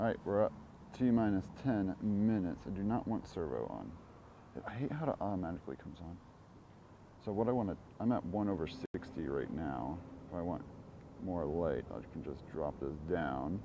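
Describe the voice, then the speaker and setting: Pausing long and often, a man speaks at a moderate pace in a very deep, low voice with a dark, mellow tone, vocal fry and very wide pitch swings. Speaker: launch livestreamer. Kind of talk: live commentary. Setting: outdoors near condos. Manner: quiet, not talking loud.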